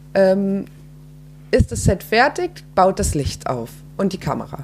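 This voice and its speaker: A woman talks very slowly while noticeable background noise is audible. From Frankfurt, Germany. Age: 20s. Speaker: filmmaker. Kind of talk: casual interview. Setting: at home.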